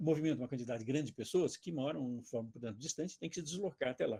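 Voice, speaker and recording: Very fast speech in a dark, mellow tone, somewhat breathy, with ordinary pitch variation and a dry, close sound with no echo. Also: man. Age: 70s. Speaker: retired architecture and urbanism professor. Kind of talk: lecture; reading aloud his own written text.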